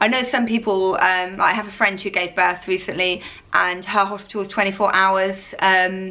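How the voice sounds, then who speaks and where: A woman's voice with a bright, sharp tone holds a medium pitch in a monotone, flat intonation. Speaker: vlogger, new mother. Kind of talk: casual Q&A vlog. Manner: fast.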